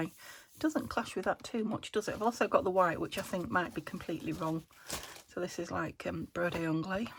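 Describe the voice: A woman's croaky, fairly low voice, with a slightly husky edge, fairly even intonation and a fairly quick pace.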